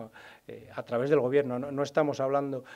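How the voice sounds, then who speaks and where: In a dark, mellow tone, a man talks at a fairly quick pace. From Spain, Burgos (Castilla y León); Castilla y León, Spain. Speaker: regional party leader, politician; politician. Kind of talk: press conference. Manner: halting, many fillers and repetitions. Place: meeting room. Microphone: podium.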